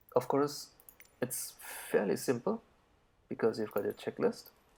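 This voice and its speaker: A man mumbling. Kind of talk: flight sim tutorial commentary.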